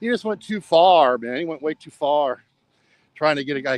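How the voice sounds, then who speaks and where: An ordinary speaking voice, this man has an American accent and a fairly high pitch, talking at a moderate pace with a dry, close sound and no echo. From US. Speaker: travel live streamer. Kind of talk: casual live stream.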